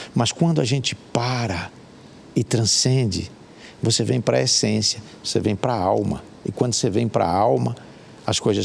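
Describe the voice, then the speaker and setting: Against noticeable background noise, a man speaks at a moderate pace in a medium pitch. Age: 60s. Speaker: hiker and life coach. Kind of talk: interview. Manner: halting.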